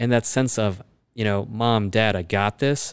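Against a quiet background, a man with an American accent talks at a moderate pace with fairly even intonation. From Chicago, US Midwest. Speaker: orthopedic spine surgeon. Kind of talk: interview conversation. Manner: hesitant, many fillers.

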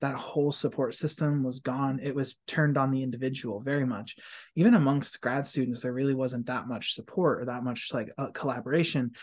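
A man speaks at a medium pitch and a fairly quick pace, with fairly even intonation. He has an ordinary speaking voice, and the background is quiet. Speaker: podcast host and community college instructor. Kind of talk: casual chat. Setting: office, construction noise nearby. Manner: warm, effusive.

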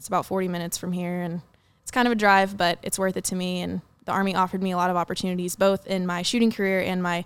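Speaking very fast in a monotone, flat intonation, a woman with an American accent is heard on a very clean recording with a silent background. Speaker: soldier and sport shooter. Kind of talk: casual chat.

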